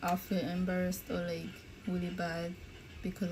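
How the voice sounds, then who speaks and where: Speaking in a non-native accent, a woman keeps a moderate pace. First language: not English. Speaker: YouTuber's girlfriend, mukbang guest. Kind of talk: casual chat.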